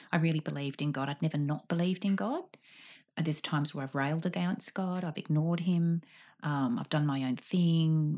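A woman with an Australian accent speaks at a fairly quick pace with a very deep, low pitch and a dark, mellow tone. The recording is very clean, with a silent background. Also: ordinary pitch variation. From Sydney, Australia. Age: 40s. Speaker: guest. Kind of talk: casual chat. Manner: animated; halting.

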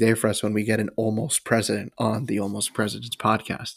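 A man with an unremarkable speaking voice and medium pitch talks at a fairly quick pace on a very clean recording with a silent background. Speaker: history podcast co-host. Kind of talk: casual chat and scripted history narration.

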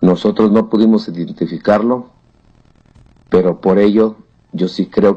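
A man's dark, mellow tone sits at a fairly low pitch, delivered at a fairly slow pace with monotone, flat intonation. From Oaxaca, Mexico. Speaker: listener giving testimony. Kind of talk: recorded testimony.

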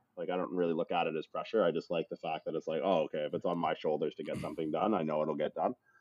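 Speaking in a Canadian accent at a very fast pace, the speaker leaves hardly any pauses. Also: man. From Canada, raised in southwestern Ontario (born Newfoundland). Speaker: chiropractor and performance coach. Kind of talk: casual interview chat.

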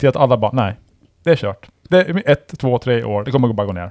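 Very fast and full of very wide pitch swings, a man's voice with vocal fry comes through in a very clean recording with a silent background. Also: dry, close sound with no echo. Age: 40s. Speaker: podcast host. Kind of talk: casual chat.

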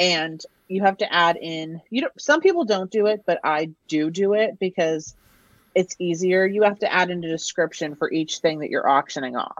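A woman speaks at a moderate pace in a normal speaking voice. Her pitch sits fairly low, with ordinary pitch variation. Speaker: reseller. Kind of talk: casual chat.

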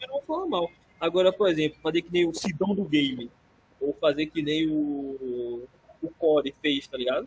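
This is a man with a normal speaking voice. His pitch is fairly high, with ordinary variation. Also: moderate pace. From Brazil. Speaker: podcast co-host. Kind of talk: casual chat.

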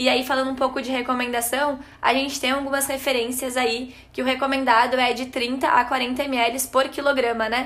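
Amid audible room echo, a woman with a high pitch speaks at a moderate pace in a monotone, flat intonation. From Rio Grande do Sul, Brazil (Gramado). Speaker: nutrition student. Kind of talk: podcast tips chat.

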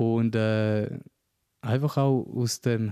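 The recording is dry and close with no echo. A man speaks at medium pitch in a dark, mellow, monotone, flat voice. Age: 30s. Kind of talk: interview conversation. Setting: at his home. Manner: halting, many fillers.

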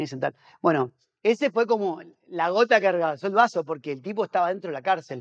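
With an Argentine accent, a man talks at a very fast pace in a high pitch with lively intonation. The background is quiet, and the sound is dry and close with no echo. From Argentina. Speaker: pastor and missionary. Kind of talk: casual interview chat. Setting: on location in a house.

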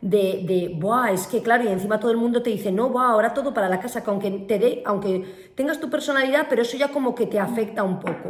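A woman's very fast, fairly high voice with ordinary pitch variation and hardly any pauses, over noticeable background noise. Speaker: podcast co-host, business owner. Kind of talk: casual chat. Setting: at home.

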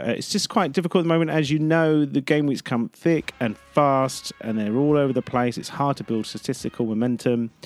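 Music plays in the background as a man speaks with an English accent. His pitch is fairly high and his intonation lively. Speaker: football podcast host. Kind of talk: casual chat. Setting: outdoors in a garden. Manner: hesitant, dithering.

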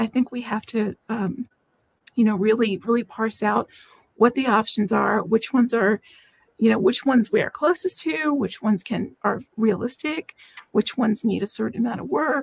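A woman with an American accent speaks at a moderate pace with lively intonation and a fairly high pitch. The sound is dry and close, with no echo. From Washington D.C. area. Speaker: author and nuclear engineer. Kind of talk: casual interview. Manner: halting, with many fillers.

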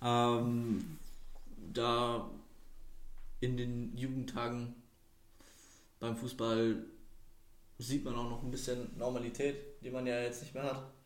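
A man with a medium-pitched voice speaks amid audible room echo. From Würzburg, Franconia, Germany. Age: 20s. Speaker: podcast guest, student. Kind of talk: casual chat.

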